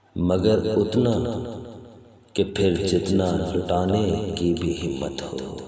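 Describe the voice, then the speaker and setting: A man's very deep, low voice with ordinary pitch variation, amid noticeable background noise. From Pakistan. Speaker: poet. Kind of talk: poetry reading.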